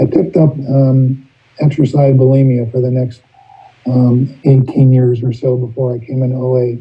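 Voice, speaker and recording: Somewhat breathy, a man at medium pitch talks at a moderate pace in a monotone, flat intonation. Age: 60s. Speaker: recovery meeting speaker. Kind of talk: testimony. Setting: video call. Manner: halting.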